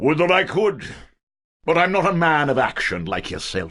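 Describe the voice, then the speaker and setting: A man puts on a raspy character voice, fairly high in pitch with lively intonation. He keeps a moderate pace. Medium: video game. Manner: folksy, coaxing.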